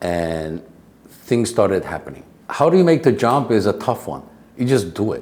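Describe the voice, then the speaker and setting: Here a man speaks with a non-native accent. His pitch swings very widely. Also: medium pitch for a man, moderate pace. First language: not English. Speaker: real estate agent and educator. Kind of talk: interview answer. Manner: casual, storytelling.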